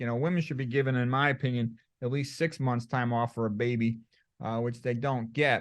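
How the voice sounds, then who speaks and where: A man speaks at a fairly quick pace in a medium pitch, with fairly even intonation, an ordinary speaking voice, and a quiet background. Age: 60s. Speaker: medical doctor. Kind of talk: interview.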